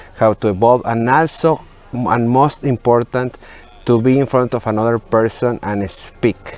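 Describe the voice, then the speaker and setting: A man with a medium pitch and fairly even intonation talks over noticeable background noise. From Mexico, Monterrey. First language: Spanish. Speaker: entertainment journalist. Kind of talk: interview. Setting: remote video link from a museum. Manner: halting, with fillers.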